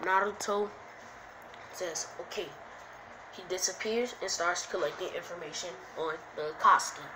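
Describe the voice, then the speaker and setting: Speaking at a fairly slow pace and medium pitch, a woman keeps her intonation fairly even while the room echo is audible. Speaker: YouTuber telling fan-fiction story. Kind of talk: improvised storytelling. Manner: casual, halting.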